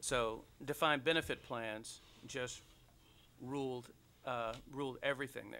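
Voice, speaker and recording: With an American accent, a man speaks at a fairly slow pace with long, frequent pauses, his bright, sharp tone at medium pitch and fairly even in intonation, on a very clean recording with a silent background. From Detroit, US Midwest. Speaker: panelist on retirement finance. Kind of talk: panel discussion. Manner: halting, many repetitions and fillers.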